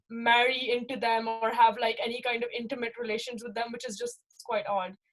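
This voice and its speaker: At a moderate pace, a woman talks at a high pitch. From Pakistan. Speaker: panel guest, student. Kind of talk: panel discussion, personal testimony.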